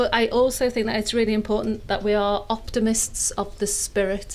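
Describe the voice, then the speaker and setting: A woman's fairly high voice in a Liverpool accent at a moderate pace. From northern England, inner city Liverpool. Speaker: sustainable fashion academic, panelist. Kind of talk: panel discussion.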